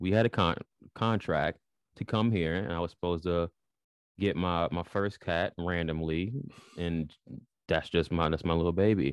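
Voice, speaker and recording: With a Chicago accent, a man speaks at a moderate pace in a very deep, low voice with fairly even intonation, the sound dry and close with no echo over a quiet background. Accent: Chicago American. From Chicago, US Midwest. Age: 20s. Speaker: spiritual podcast host and writer. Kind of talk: casual interview. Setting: video call.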